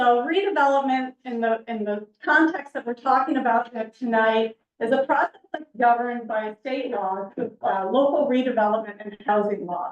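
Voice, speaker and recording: A loud woman speaks at a moderate pace with a high pitch and ordinary pitch variation. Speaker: planning consultant. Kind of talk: public presentation. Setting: council meeting with audience.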